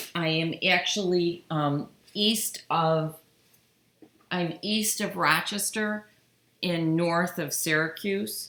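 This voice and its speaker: With an American accent and ordinary pitch variation, the voice goes at a very slow pace, with long, frequent pauses. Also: woman, fairly low pitch for a woman. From upstate New York, US. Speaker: quilting channel host. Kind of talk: live stream chat while sewing. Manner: casual, halting.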